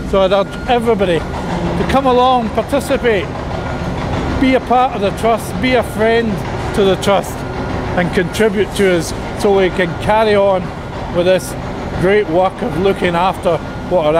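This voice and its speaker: Over music in the background, a man talks at a moderate pace with long, frequent pauses. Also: ordinary pitch variation. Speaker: engineer or site spokesperson. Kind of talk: on-site explanation to camera. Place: tunnel cave.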